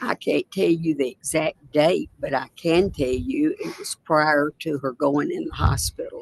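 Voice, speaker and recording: A woman with a Tennessee accent, at a fairly slow pace with hardly any pauses. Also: dry, close sound with no echo. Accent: Tennessee Southern. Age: 80s+. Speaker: witness. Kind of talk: court testimony. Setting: courtroom.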